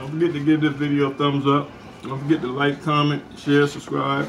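Light background noise accompanies a man whose intonation is monotone and flat. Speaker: mukbang vlogger. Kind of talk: casual vlog chat. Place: home room. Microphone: camera far.

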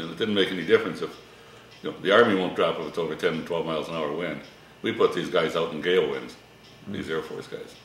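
A man at a very fast pace, with audible room echo and light background noise. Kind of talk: interview answer. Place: kitchen.

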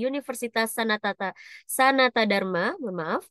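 A woman with an upbeat tone and ordinary pitch variation speaks with dry sound, no echo, and a quiet background. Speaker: online event moderator. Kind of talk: event moderation. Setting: video call. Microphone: video call.

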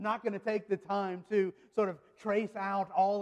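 Over a quiet background, a high-pitched man talks at a moderate pace. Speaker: pastor. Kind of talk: sermon. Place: church. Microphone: podium.

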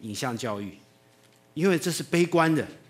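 A man speaks with a Taiwanese accent at a fairly quick pace. His tone is animated and his intonation lively. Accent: Taiwanese Mandarin. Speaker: animation teacher and video producer; animation teacher. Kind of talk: public talk. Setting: stage with audience. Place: hall.

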